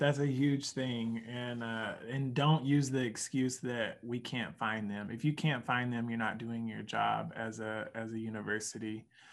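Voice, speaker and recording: Speaking at a fairly slow pace with hardly any pauses, a man has a Southern Oklahoma accent. His loudness swings a lot, and his pitch variation is ordinary. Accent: Southern Oklahoma accent, slower speech. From Oklahoma, US. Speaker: higher education professional and poet. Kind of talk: casual interview conversation.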